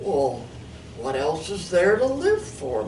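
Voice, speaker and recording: A put-on character voice at a middle pitch and a fairly slow pace, over clear background noise. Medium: read story.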